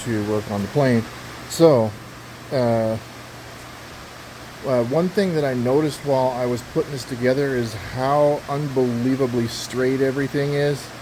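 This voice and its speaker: The speech comes at a fairly slow pace over noticeable background noise. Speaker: amateur aircraft builder. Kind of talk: casual build log narration. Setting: workshop with metal roof. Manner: hesitant, many fillers; talking loud.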